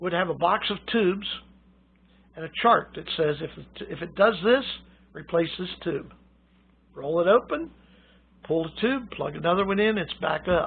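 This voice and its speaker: Long, frequent pauses break up a man's high-pitched speech, which moves at a moderate pace with ordinary pitch variation and big swings in loudness. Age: 70s. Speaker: radio hobbyist. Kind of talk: informal lecture. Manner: casual, halting.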